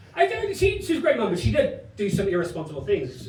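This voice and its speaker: Amid noticeable background noise and audible room echo, a man speaks with very wide pitch swings. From Ireland, raised in Spain from age eleven. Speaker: stand-up comedian. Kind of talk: stand-up. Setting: stage with audience. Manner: animated.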